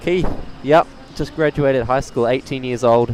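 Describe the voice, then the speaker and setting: Someone with a New Zealand accent talks at a fairly slow pace in a relaxed tone against noticeable background noise. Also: man. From New Zealand, Tauranga. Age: young. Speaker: plane spotting live streamer. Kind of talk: live stream commentary, chatting with viewers. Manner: casual, relaxed.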